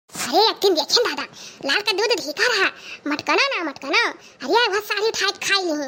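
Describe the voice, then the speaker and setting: Using a cartoonish character voice, a woman speaks fairly quickly at an extremely high pitch with lively intonation. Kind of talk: comic cartoon dialogue. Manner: complaining.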